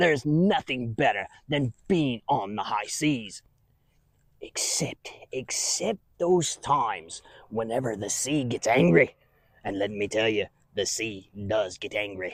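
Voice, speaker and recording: A man puts on a character voice at a medium pitch. He speaks at a fairly slow pace with lively intonation. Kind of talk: children's church skit. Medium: solo performance. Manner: rambling, chuckling, folksy.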